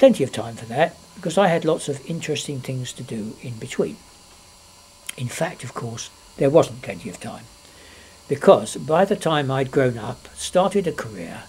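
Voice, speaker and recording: A man's fairly high voice at a moderate pace, with long, frequent pauses, very wide pitch swings, big shifts in loudness, and noticeable background noise. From London, England. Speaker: grandfather telling his life story. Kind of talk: reading aloud; casual chat. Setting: at home, being filmed.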